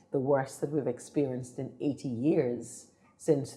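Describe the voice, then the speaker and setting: A woman with an Antiguan accent speaks with a very deep, low pitch. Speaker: politician. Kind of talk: political interview. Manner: formal.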